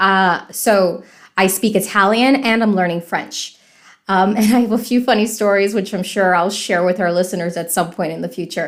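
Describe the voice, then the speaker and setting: An American woman with an unremarkable speaking voice talks at a moderate pace and medium pitch, using ordinary pitch variation, on a very clean recording with a silent background. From US South, Miami, Florida. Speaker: podcast host, English teacher. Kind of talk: podcast introduction, casual chat.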